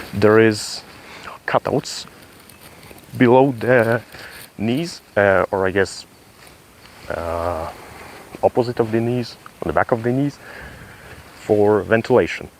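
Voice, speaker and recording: Over noticeable background noise, a man speaks at a very slow pace with long, frequent pauses. His pitch is medium, with ordinary variation. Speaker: military gear reviewer. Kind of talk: tutorial. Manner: halting.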